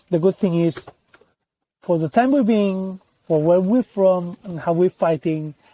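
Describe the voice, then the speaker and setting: A man with a non-native accent, high in pitch, at a fairly slow pace with long, frequent pauses, ordinary pitch variation, and a dry, close sound with no echo. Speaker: tech company CEO and co-founder. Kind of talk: interview.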